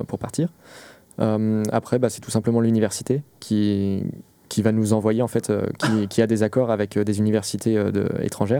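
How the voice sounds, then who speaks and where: A man talks at a moderate pace with a fairly low pitch and a dark, mellow tone in a monotone, flat intonation. The recording is very clean with a silent background. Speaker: master's student. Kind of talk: casual chat. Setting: studio.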